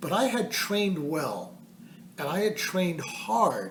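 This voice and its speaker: Noticeable background noise under a very slow delivery. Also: man. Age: 70s. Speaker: hiker. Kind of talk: casual talk to camera.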